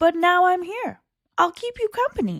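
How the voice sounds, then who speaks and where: Putting on a character voice, a woman speaks at a moderate pace in an extremely high, squeaky tone. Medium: read story. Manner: chatty, self-important.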